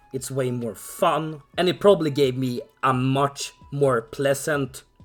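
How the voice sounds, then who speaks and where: With music in the background, the man talks at a medium pitch. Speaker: card game player. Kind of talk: casual talk to camera.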